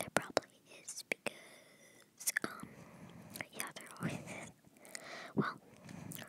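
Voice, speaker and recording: Through noticeable background noise comes whispering at a very slow pace, broken by long, frequent pauses. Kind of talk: ASMR gameplay intro to camera.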